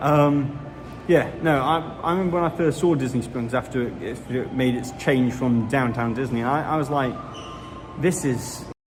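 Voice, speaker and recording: Music plays in the background, and there is audible room echo. A man with a medium pitch talks at a moderate pace with ordinary pitch variation. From Britain. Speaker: Disney news YouTuber. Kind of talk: casual livestream chat. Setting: outdoors in a theme park. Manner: casual, hesitant with fillers.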